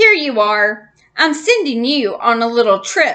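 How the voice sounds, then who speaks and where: A woman's put-on character voice, high-pitched, at a moderate pace. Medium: read story. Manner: gruff, bossy.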